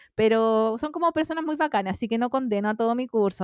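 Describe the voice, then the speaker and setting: A woman's fairly high voice in a Chilean accent at a fairly quick pace, with a dry, close sound with no echo and a quiet background. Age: 30s. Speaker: podcast co-host. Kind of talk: casual chat.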